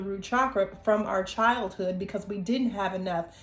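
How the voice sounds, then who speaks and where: A woman at medium pitch, with monotone, flat intonation and a moderate pace. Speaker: intuitive oracle card reader. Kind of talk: tarot-style card reading monologue. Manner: casual, conversational with frequent fillers.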